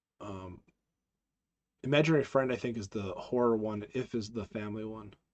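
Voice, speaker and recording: Ordinary pitch variation and a moderate pace from a male speaker. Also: medium pitch for a man. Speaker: live stream host. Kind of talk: casual live stream chat. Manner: halting, many fillers.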